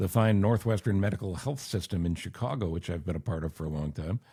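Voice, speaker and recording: A man talks at a very fast pace, sounding somewhat breathy. The recording is very clean, with a silent background. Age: 60s. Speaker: podcast host, former radio host. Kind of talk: casual chat.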